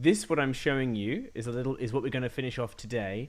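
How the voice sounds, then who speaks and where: The speaker is a man with a slight British accent. His pitch sits in the medium range. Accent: slight BBC-style British. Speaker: coding tutor for kids. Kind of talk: live-streamed coding tutorial. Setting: live stream. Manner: hesitant, many fillers.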